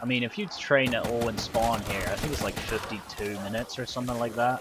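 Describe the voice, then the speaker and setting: A man talks at a fairly quick pace with monotone, flat intonation and a medium pitch. Noticeable background noise runs underneath. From Netherlands. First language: Dutch. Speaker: gaming streamer. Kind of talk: casual live-stream chat.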